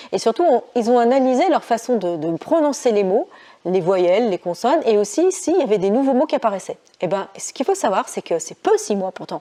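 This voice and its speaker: Speaking at a fairly quick pace, a woman with a fairly high pitch and a dark, mellow tone lets her pitch swing very widely. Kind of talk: casual talk to camera.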